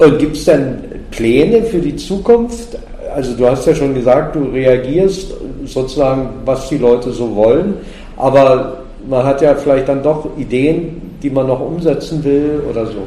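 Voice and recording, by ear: With a dark, mellow tone and lively intonation, a man of medium pitch speaks at a fairly slow pace with few pauses, and audible room echo surrounds his voice.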